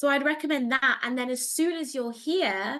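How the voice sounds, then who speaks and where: Against a quiet background, a woman with a British accent uses a raised, projected voice, high in pitch with ordinary pitch variation and a bright, sharp tone. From England. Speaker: career advisor. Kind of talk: online Q&A session.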